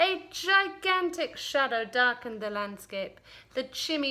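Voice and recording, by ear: A passage read aloud in a natural voice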